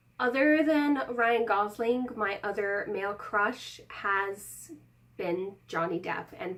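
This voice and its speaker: At a very slow pace, a woman speaks in a medium pitch with lively intonation. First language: not English. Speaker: YouTuber. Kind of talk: casual vlog talk to camera.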